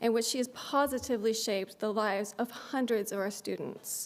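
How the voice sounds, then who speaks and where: Ordinary pitch variation marks this woman's speech. She has an American accent. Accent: slight Texas accent when speaking publicly. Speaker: law school dean. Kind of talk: inaugural speech. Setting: stage with audience. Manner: fast talker.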